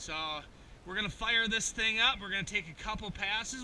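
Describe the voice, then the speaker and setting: The speech is loud, with audible room echo and noticeable background noise. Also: man. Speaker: travel vlogger. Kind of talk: casual vlog. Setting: outdoors.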